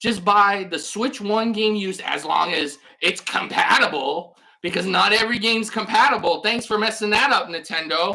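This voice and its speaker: The woman's tone is animated, her pitch medium with ordinary variation. She keeps a moderate pace. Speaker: gaming YouTuber. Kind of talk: rant video. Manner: loud.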